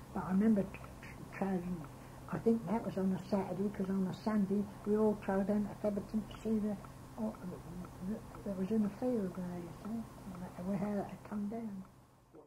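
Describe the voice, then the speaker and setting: A woman at medium pitch and moderate pace, her intonation fairly even, with noticeable background noise. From Suffolk, England. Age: 80s+. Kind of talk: reminiscence interview. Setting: home tape recording. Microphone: old recording.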